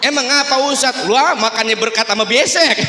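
In a raised, projected voice and an animated tone, a man speaks at a moderate pace, with audible room echo and light background noise. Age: young. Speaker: religious preacher. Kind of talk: sermon. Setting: mosque with audience. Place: hall. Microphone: handheld.

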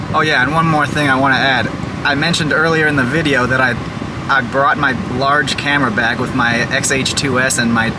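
Loud background noise fills the clip. Over it, a man speaks fairly quickly. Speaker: vlogger. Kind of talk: casual vlog chat. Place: car. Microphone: lapel.

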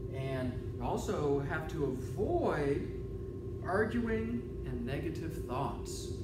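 A man speaks over loud background noise. The room echo is audible. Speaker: teacher or presenter. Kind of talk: lecture. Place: classroom. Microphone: camera far.

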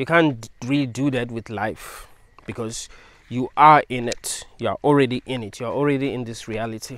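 This man talks at a moderate pace with fairly even intonation. The sound is dry, with no echo. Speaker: video creator. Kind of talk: philosophical monologue. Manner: rambling, repetitive; casual. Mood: calm, thoughtful. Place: open country. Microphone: lapel.

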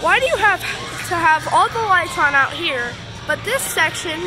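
Clear music plays in the background. A woman speaks at a fairly slow pace with an extremely high pitch. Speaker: store tour vlogger. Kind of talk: casual vlog commentary. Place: shop. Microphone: phone near.

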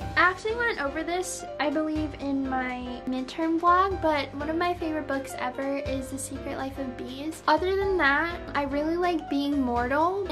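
With clear music in the background, the speech moves at a moderate pace with lively intonation and hardly any pauses. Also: woman, high pitch for a woman. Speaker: beauty vlogger. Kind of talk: casual talk to camera. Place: home room. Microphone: phone near.

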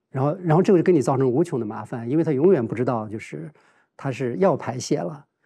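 Somewhat breathy and dark, mellow in tone, a man talks at a very fast pace with lively intonation. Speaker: professor. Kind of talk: roundtable discussion. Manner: halting, many filler sounds. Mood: calm, earnest, reflective. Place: studio. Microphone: lapel.

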